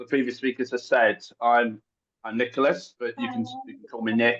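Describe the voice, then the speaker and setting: At a moderate pace, a man speaks with a strong English accent. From England, Essex. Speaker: guest speaker, language student. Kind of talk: online presentation. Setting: video call.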